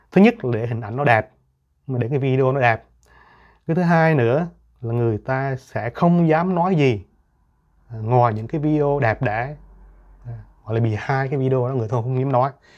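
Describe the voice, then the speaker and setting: A man speaks with ordinary pitch variation and long, frequent pauses. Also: moderate pace, quiet background. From Vietnam. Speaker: YouTuber. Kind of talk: monologue. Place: home room.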